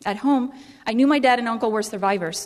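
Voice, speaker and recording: A woman talks very fast in a Cuban-American accent, her pitch fairly high with ordinary variation. Noticeable background noise runs behind her. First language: Spanish. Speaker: public speaker. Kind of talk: speech.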